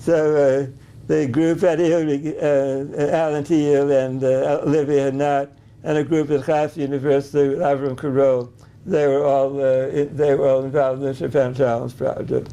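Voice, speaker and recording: The man speaks at a moderate pace. His intonation is monotone and flat. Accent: American. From US Northeast. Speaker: animal genetics professor. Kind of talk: interview. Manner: halting.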